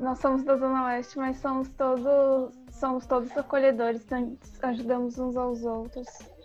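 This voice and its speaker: A woman speaks at a high pitch. Her intonation stays monotone and flat. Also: moderate pace. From São Paulo, Brazil (east periphery, São Mateus). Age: 20s. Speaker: podcast host, university student. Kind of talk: interview.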